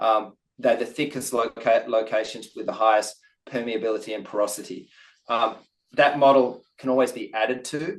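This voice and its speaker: A man with an Australian accent at a moderate pace, with ordinary pitch variation. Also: medium pitch for a man. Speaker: company CEO. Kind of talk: investor webinar Q&A. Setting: online webinar. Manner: hesitant, many fillers.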